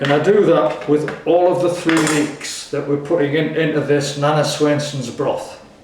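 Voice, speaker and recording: Over noticeable background noise, a man speaks at a moderate pace in a fairly high, monotone, flat voice with hardly any pauses. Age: 80s+. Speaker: home cook. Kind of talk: tutorial.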